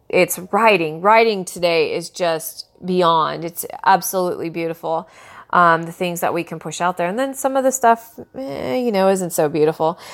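At a moderate pace with hardly any pauses, a woman speaks in an unremarkable speaking voice of fairly low pitch and ordinary pitch variation. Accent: American. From US West Coast. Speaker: sports coach and podcast host. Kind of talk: casual podcast monologue. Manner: casual, with filler words and laughs.

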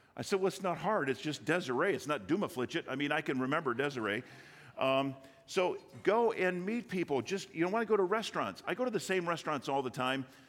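A man talks at a very fast pace. His fairly high voice makes very wide pitch swings. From Michigan, Detroit area. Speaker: business owner speaking at church. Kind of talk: sermon. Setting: church.

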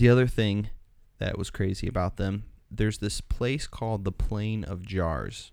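A man with an American accent and an ordinary speaking voice talks at a moderate pace, fairly low in pitch, with ordinary pitch variation. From United States. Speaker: podcast host. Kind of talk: casual podcast chat. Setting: studio.

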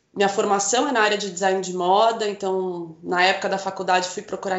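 Flat, monotone female speech at a medium pitch and a moderate pace. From northern Paraná, Brazil (Rolândia). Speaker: visual merchandising coordinator. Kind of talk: casual interview.

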